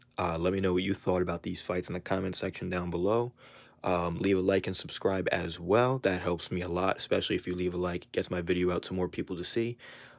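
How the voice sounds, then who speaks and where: The speech comes at a very fast pace in a monotone, flat intonation over a very clean recording with a silent background. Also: man, very deep, low pitch for a man. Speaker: MMA reaction youtuber. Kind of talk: video reaction commentary.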